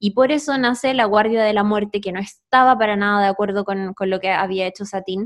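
A woman with a Chilean accent at a moderate pace. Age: 30s. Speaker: podcast co-host. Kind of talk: casual chat.

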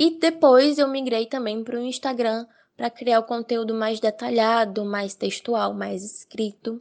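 A woman's normal speaking voice, fairly high in pitch with ordinary pitch variation, fairly slow in pace, over a quiet background. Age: 20s. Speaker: digital influencer. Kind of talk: interview testimony.

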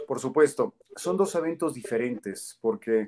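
A man of medium pitch with a central Mexican accent, lively intonation and a moderate pace. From central Mexico, Toluca. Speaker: football commentator. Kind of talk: interview.

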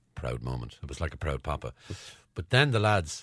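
In an Irish accent, a man talks fairly quickly with a very deep, low pitch and vocal fry on a very clean recording with a silent background. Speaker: podcast host. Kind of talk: casual chat. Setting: studio.

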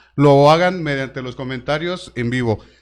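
A plain, everyday voice at a moderate pace with ordinary pitch variation, on a very clean recording with a silent background. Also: man. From Tlaquepaque, Jalisco, Mexico. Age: 30s. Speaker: podcast host, stand-up comedian and impressionist. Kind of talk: casual chat; live show presenting.

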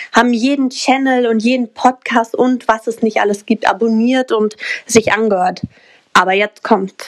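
A woman has an unremarkable speaking voice, fairly high in pitch, with fairly even intonation at a moderate pace. The sound is dry and close with no echo. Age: 20s. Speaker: mindset coach and crypto entrepreneur. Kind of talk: podcast interview.

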